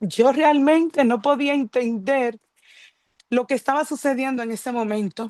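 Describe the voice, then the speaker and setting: A woman's high voice at a fairly slow pace, with ordinary pitch variation and dry, close sound with no echo. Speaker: churchgoer giving testimony. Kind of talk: testimony. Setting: video call.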